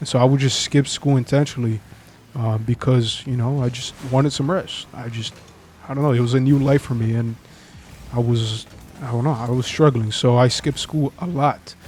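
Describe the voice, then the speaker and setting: A man at medium pitch, moderate pace, and fairly even intonation. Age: 20s. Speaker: vlogger telling his life story. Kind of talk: personal testimony vlog. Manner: halting, with stumbles and fillers.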